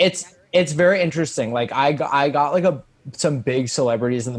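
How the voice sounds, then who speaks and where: Ordinary pitch variation marks this man's speech with an American accent. Noticeable background noise sits behind him. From US Northeast, Long Island. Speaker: comedian. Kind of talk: casual chat.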